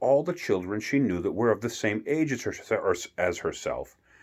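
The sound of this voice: A reading voice, unforced.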